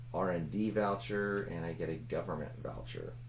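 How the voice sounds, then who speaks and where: Mumbling with vocal fry, a man with a fairly low pitch and very wide pitch swings talks at a moderate pace amid audible room echo. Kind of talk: solo game playthrough commentary. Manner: mumbling to himself while thinking; casual, thinking aloud with hesitations.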